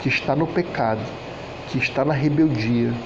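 Noticeable background noise and audible room echo accompany a man speaking at a moderate pace, his fairly high pitch showing ordinary variation. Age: 40s. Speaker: preacher. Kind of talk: sermon.

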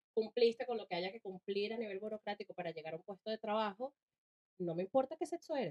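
A woman's plain, everyday voice at a medium pitch, fairly quick and with lively intonation, in a dry, close sound with no echo. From Venezuela, Caracas. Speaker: podcast co-host. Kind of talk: casual chat.

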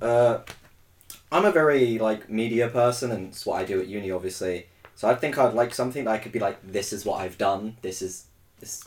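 A plain, everyday voice from a man at medium pitch, with big swings in loudness, a fairly quick pace and ordinary pitch variation. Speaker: podcast host. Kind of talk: casual chat.

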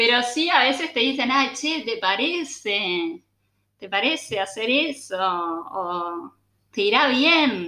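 This voice has a Uruguayan accent and a bright, sharp tone. It moves at a very slow pace with very wide pitch swings. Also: woman, high pitch for a woman. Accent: Uruguayan Spanish (Rioplatense). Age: 20s. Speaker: communications professional and cook. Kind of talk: interview, casual chat.

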